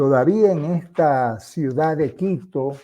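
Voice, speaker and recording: Speaking very slowly, a man has a dark, mellow tone and ordinary pitch variation. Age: 70s. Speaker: former Jesuit, religious commentator. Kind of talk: impassioned monologue. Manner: animated.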